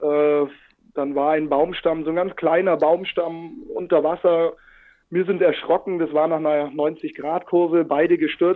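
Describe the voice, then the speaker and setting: With monotone, flat intonation, a man speaks at a fairly slow pace in a fairly high pitch. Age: 30s. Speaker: paddleboard adventurer and social worker. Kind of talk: casual interview. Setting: video call.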